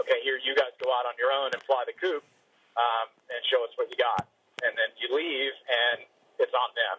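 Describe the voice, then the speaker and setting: With an American accent, a man delivers his words at a fairly quick pace. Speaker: military veteran. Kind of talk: interview. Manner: fast.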